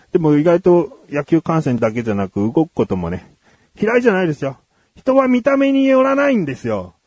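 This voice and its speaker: Dry, close sound with no echo carries a man's high-pitched voice, moving at a fairly quick pace with very wide pitch swings. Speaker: radio host. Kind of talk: casual chat.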